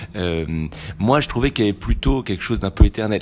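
Very deep, low male voice with vocal fry and very wide pitch swings. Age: 40s. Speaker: photographer. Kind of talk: interview. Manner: halting, many repetitions and hesitations.

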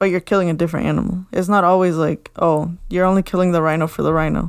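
A woman with a normal speaking voice, fairly low pitch and fairly even intonation, in a very clean recording with a silent background. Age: 20s. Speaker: podcast co-host. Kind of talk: casual chat.

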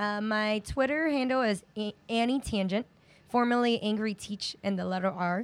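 A woman with an American accent uses an ordinary speaking voice, pitched fairly high, with ordinary pitch variation at a moderate pace. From New York City, Chinatown. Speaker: special education teacher and activist. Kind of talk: casual interview.

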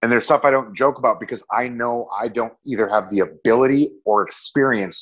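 This man has an unremarkable speaking voice with ordinary pitch variation and a medium pitch. The background is quiet. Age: 30s. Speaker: comedian and actor, Marine veteran. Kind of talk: casual interview chat.

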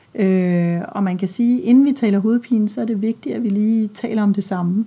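A woman's dark, mellow, somewhat breathy voice moves at a moderate pace with ordinary pitch variation. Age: 50s. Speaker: pediatrician. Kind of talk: interview. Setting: doctor's office.

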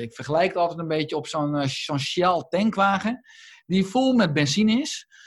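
Somewhat breathy, a man's voice is heard. His pitch swings very widely. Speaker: doctor and lifestyle author. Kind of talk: interview. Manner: halting, many repeated words.

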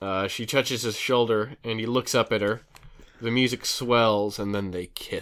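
The reading voice is unforced. Its intonation is fairly even.

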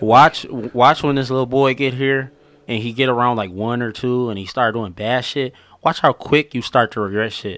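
Against a quiet background, a man speaks at a moderate pace. His pitch is medium and his intonation fairly even. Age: 20s. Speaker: podcast co-host. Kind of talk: casual chat.

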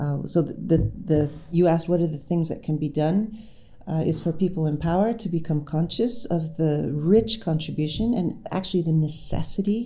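With normal pitch movement, a woman speaks in a dark, mellow tone that is somewhat breathy. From United States. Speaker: professor and author. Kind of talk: interview.

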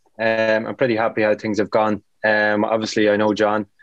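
A fairly low-pitched man's voice at a moderate pace. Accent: Irish. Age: 30s. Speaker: footballer. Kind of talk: casual chat.

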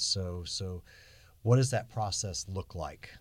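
A man speaks in a very deep, low pitch with ordinary pitch variation. His voice is somewhat breathy. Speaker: podcast host. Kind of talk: interview conversation.

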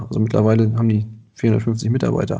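This man has a dark, mellow tone and speaks at a moderate pace. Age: 30s. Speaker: landscaping business owner. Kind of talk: interview.

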